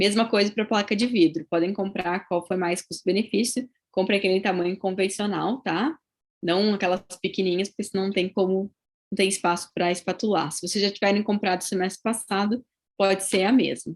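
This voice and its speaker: Fairly quick, fairly even speech from a woman in a southern Brazilian accent. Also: medium pitch for a woman. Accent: gaúcho (southern Brazilian). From southern Brazil, Rio Grande do Sul. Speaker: dentistry professor. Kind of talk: lecture. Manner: conversational, frequent tag 'tá?'.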